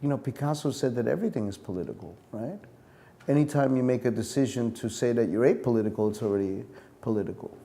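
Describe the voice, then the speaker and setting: Talking very fast, a man with an American accent has a medium pitch and a dark, mellow tone. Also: ordinary pitch variation. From New York. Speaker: performance artist. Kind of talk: interview. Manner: animated.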